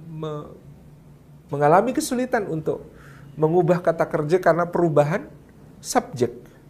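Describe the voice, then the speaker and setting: The speaker uses lively intonation and a moderate pace with a Javanese accent. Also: man. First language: Javanese (speaking Indonesian). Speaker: Islamic preacher. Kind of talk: religious lecture. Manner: halting with fillers.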